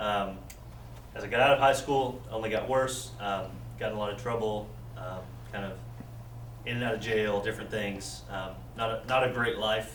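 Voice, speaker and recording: Amid noticeable background noise and audible room echo, a man with an American accent and a fairly low pitch speaks at a moderate pace with fairly even intonation and long, frequent pauses. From Texas. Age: 20s. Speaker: church member sharing conversion story. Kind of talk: testimony.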